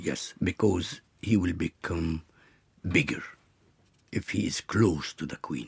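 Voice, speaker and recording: Very slowly and with long, frequent pauses, a man speaks in a very deep, low pitch with vocal fry and ordinary pitch variation. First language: Arabic. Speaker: actor. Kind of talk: interview. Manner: halting.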